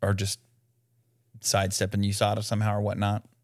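The recording is very clean, with a silent background. A man talks in a fairly low pitch. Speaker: podcast host. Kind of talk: casual chat.

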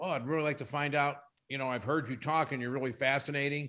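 Here a man at a medium pitch talks with ordinary pitch variation in an ordinary speaking voice. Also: very clean recording, silent background. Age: 60s. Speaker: company CEO. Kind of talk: casual interview.

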